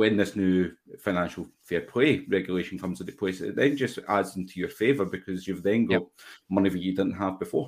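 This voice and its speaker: On a very clean recording with a silent background, a man with a Glasgow accent and a very deep, low voice speaks at a fairly quick pace with ordinary pitch variation. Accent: Scottish (Glasgow). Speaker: football fan podcaster. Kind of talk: casual chat.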